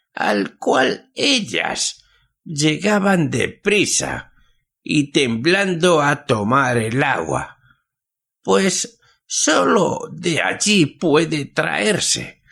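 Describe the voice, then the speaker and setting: A shaky, put-on character voice from a man, fairly high-pitched with very wide pitch swings, at a very slow pace. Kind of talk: old-fashioned folk tale telling. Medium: read story. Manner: slow, paternal, mysterious.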